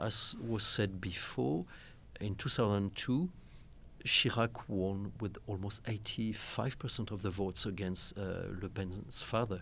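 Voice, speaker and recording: The speaker has a French accent. Pitch varies in an ordinary way. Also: man. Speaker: diplomat. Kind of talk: panel discussion. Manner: halting.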